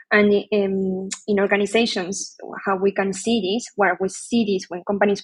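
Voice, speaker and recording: A woman's medium-pitched voice in a Spanish accent, monotone and flat. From Argentina. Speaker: HR leader and psychologist. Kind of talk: podcast interview.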